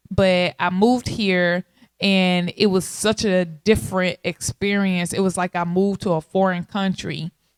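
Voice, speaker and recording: A woman with an American accent at a medium pitch, on a very clean recording with a silent background. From Texarkana, Arkansas/Texas border, US South. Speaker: podcast host. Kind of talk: casual monologue. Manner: animated.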